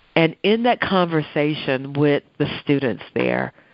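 An American accent comes through. The words are delivered rather slowly. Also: woman. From Chicago West Side, US. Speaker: professor of social work and public health. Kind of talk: interview conversation. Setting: remote call from Ghana.

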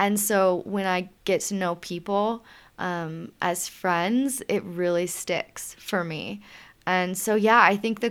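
In an American accent, the words come at a very slow pace. Pitch varies in an ordinary way. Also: woman, very clean recording, silent background. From US South. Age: 30s. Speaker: climber and herpetologist. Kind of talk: casual interview chat. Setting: mountain cabin.

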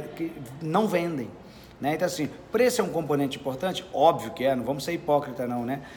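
A man's fairly high voice moves at a moderate pace and shows ordinary pitch variation. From Brazil, Minas Gerais (Belo Horizonte). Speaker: sales speaker. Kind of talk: interview. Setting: at a sales event in Curitiba.

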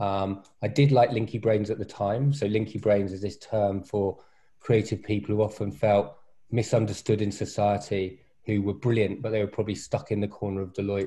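Over a quiet background, the voice is somewhat breathy with a dark, mellow tone, fairly even intonation and a moderate pace. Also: man, fairly low pitch for a man. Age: 40s. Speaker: venture capitalist and coach. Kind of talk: casual chat. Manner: halting with fillers.

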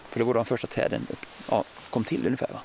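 Noticeable background noise sits behind the man as he talks. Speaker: forest biologist. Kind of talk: casual interview. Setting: outdoors.

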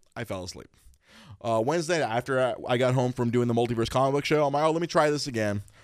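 Talking at a very fast pace, a man lets his pitch vary in an ordinary way. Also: medium pitch for a man. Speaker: podcast host. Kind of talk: casual chat. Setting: studio. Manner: loud; animated, laughing often.

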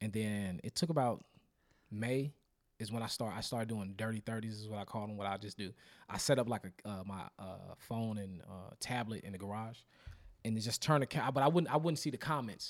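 A man with a normal speaking voice talks at a fairly quick pace, fairly low in pitch with ordinary variation and big swings in loudness. The recording is very clean, with a silent background. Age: 30s. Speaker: comedian. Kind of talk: casual chat.

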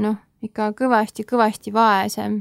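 Dry and close with no echo, this woman's voice is heard. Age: young. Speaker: former exchange volunteer in Costa Rica. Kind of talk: interview. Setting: studio.

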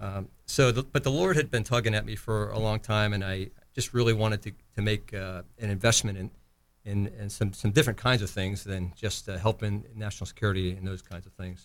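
In an unremarkable speaking voice, a man talks at a fairly quick pace with a fairly low pitch. His intonation is fairly even, and the recording is very clean with a silent background. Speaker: retired navy admiral. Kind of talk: casual interview chat.

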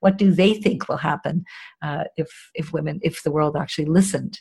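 A fairly low, somewhat breathy woman's voice at a fairly quick pace. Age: 50s. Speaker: charity executive director. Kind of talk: interview.

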